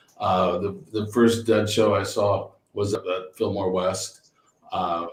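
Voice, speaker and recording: A man speaks with a fairly low pitch and fairly even intonation. His voice is somewhat breathy. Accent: Californian. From Northern California, San Francisco area. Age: 60s. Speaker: winery owner. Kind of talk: casual chat. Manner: halting, many repeated words.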